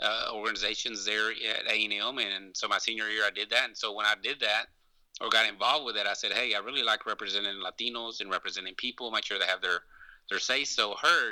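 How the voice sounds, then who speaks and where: With an East Texas accent, a man delivers his words at a very fast pace, fairly low in pitch and with fairly even intonation. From East Texas (Longview), born in Mexico. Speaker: lawyer and activist. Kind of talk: interview. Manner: halting.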